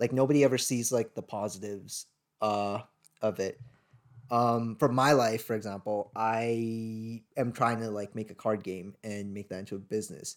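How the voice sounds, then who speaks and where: In a very clean recording with a silent background, a man with a Canadian accent talks in an ordinary speaking voice at medium pitch, with fairly even intonation and a moderate pace. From Sri Lanka, raised in Vancouver, Canada from age eight. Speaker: podcast co-host. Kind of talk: casual chat.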